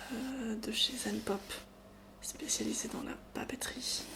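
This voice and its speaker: Soft-spoken and gentle, a woman with a fairly high pitch talks at a very slow pace over noticeable background noise. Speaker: ASMR content creator. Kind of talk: ASMR box-opening video, soft-spoken talk to camera. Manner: soft-spoken, gentle.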